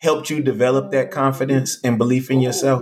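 This is a man speaking with an American accent. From Texas. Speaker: podcast host and speaker. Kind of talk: casual interview. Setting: video call. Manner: animated.

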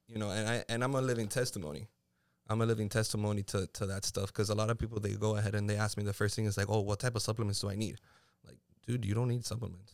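The recording is very clean, with a silent background. A man with a fairly low pitch talks at a very fast pace with fairly even intonation. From Puerto Rico. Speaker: amateur bodybuilder. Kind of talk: casual chat.

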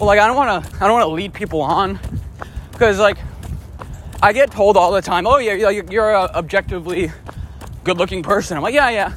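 Over noticeable background noise, a man with a high pitch and ordinary pitch variation talks at a fairly quick pace, with long, frequent pauses. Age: 20s. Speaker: running podcast host. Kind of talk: casual monologue while running. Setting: outdoors on a run.

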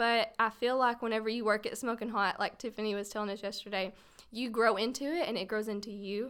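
In a Texas accent, a woman talks very fast at a fairly high pitch with fairly even intonation. The recording is very clean, with a silent background. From Paris, Texas. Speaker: photographer and videographer. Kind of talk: casual chat.

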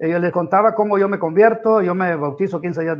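The pitch varies in an ordinary way while the words come at a moderate pace. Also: man. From Honduras, Santa Bárbara. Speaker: pastor. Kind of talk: testimony.

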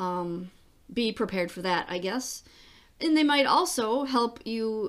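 A woman's normal speaking voice, fairly high in pitch with lively intonation, at a fairly slow pace on a very clean recording with a silent background. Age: 50s. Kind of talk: personal monologue podcast. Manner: casual with frequent fillers and laughs.

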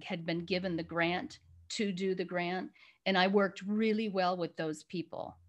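This woman has a plain, everyday voice with an American accent and a medium pitch. She speaks at a fairly slow pace with fairly even intonation. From US Midwest, Chicago area. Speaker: executive coach and business founder. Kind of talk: interview.

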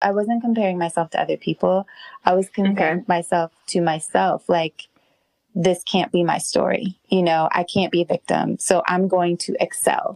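A woman's unremarkable speaking voice, an unremarkable speaking voice at medium pitch, with fairly even intonation, very even loudness and a moderate pace, in a dry, close sound with no echo. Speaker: podcast host interviewer. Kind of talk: casual interview conversation.

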